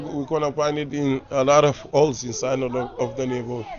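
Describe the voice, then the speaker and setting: Against noticeable background noise, a man with a medium pitch talks at a fairly quick pace in a flat, monotone way. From Lisbon, Portugal (Cape Verdean community). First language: Portuguese / Cape Verdean Creole. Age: 40s. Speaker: local neighborhood guide. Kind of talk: guided neighborhood tour.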